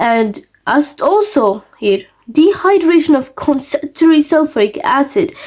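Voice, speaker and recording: A woman's high voice with a non-native accent and very wide pitch swings. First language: not English. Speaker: chemistry teacher. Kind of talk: lecture. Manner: halting.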